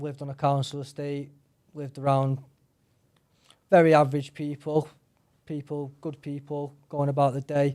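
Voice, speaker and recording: A man's fairly high, dark, mellow voice with a Manchester accent, flat and monotone at a moderate pace, with big swings in loudness and long, frequent pauses over a very clean, silent background. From northern England, Salford, Manchester. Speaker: mixed martial artist. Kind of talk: interview.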